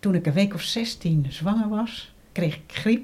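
A woman's somewhat breathy voice has a dark, mellow tone and lively intonation. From Netherlands, Gouda (South Holland). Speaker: interviewee, blind woman. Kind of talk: personal testimony interview. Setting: at a living room table.

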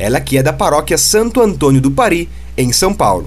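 Audible echo from the room and noticeable background noise behind a man's moderate-paced speech. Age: 20s. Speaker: podcast host, youth group member. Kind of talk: scripted interview.

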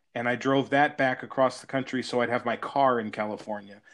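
A man speaks with an American accent in an ordinary speaking voice. His medium pitch carries fairly even intonation. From US. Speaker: podcast host. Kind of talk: casual interview chat. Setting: remote call.

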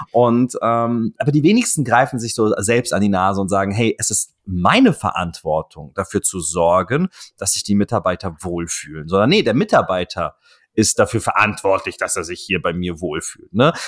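This man has an ordinary speaking voice, fairly low in pitch, with lively intonation at a moderate pace. The sound is dry and close with no echo. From Offenbach, Hesse, Germany. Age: 30s. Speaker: podcast host, fitness marketing agency owner. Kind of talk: casual interview chat.

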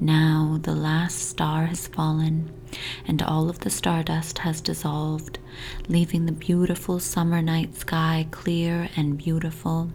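A woman speaks at a very slow pace with a very deep, low pitch, a soothing, calm tone, monotone, flat intonation and very even loudness, with noticeable background noise behind her. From Toronto, Canada. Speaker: hypnotist. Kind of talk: guided hypnosis meditation for sleep. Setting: home recording with family noise in the background. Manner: slow, soothing, hypnotic repetition; soft, calm and gently paced.

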